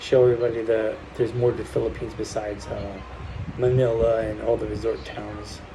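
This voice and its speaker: A man with an American accent at a fairly quick pace, amid noticeable background noise and audible room echo. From US Northeast, New Jersey. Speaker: vlogger. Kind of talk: casual vlog monologue. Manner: speaking low; halting.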